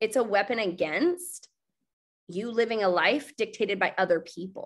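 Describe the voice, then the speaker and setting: Lively intonation and an animated tone from a woman with a fairly high pitch. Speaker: network marketing team leader. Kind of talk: live webinar training. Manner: fast.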